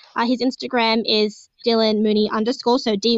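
Speaking in an Australian accent, a woman keeps a moderate pace at a fairly high pitch. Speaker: podcast co-host. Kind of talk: casual chat. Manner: animated.

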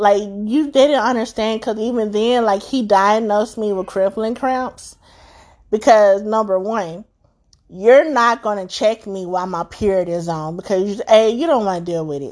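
Over a quiet background, a woman with an ordinary speaking voice speaks at a moderate pace and a fairly high pitch. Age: 30s. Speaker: podcast host sharing motherhood experiences. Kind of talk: personal monologue.

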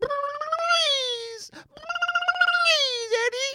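A put-on character voice pitched extremely high. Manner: pleading.

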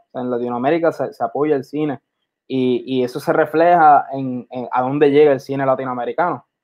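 At a moderate pace, a man talks in a plain, everyday voice, fairly high in pitch with fairly even intonation. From Puerto Rico. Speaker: filmmaker. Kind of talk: interview.

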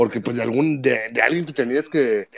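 Fairly quick speech from a man, ordinary pitch variation, noticeable noise behind it. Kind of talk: casual chat. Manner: animated.

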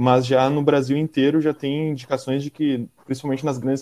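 A dark, mellow, mid-pitched male voice. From Porto Alegre, southern Brazil. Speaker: delivery worker, organizer. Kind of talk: casual interview.

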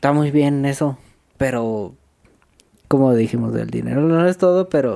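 Speaking at a fairly slow pace, a man leaves long, frequent pauses. His pitch is fairly high, with ordinary variation. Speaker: podcast co-host. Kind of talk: casual chat.

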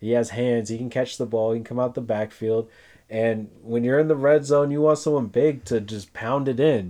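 In an American accent, a man speaks at a moderate pace and a medium pitch. His tone is dark and mellow, his intonation fairly even, and the background quiet. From San Francisco Bay Area, California. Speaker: fantasy football podcast co-host. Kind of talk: casual chat. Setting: in a hot room in a house without air conditioning.

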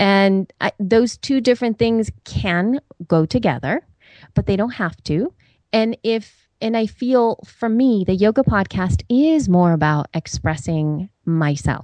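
A woman with a medium pitch speaks very slowly and with lively intonation. The sound is dry and close with no echo, and the background is quiet. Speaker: podcaster and yoga teacher. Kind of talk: interview, conversational. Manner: hesitant, filler-laden.

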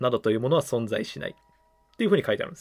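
With music in the background, a man's voice comes through dry and close with no echo. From Kumamoto, Japan. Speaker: podcast host. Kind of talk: casual chat, reading listener mail.

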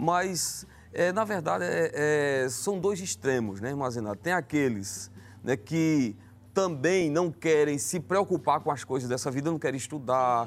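With lively intonation, a man speaks at a fairly high pitch in a normal speaking voice. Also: fairly slow pace. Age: 30s. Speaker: evangelist. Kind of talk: religious talk show discussion.

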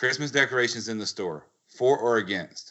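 Speaking at a fairly quick pace, a man uses a medium-pitched voice. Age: 30s. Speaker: podcast host. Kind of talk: casual chat.

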